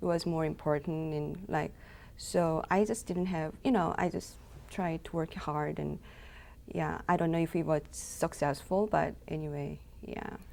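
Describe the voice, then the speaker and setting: A woman's fairly low-pitched, dark, mellow voice with a Korean accent, fairly even intonation and a fairly slow pace, in a very clean recording with a silent background. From South Korea. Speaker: intern. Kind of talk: interview. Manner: halting.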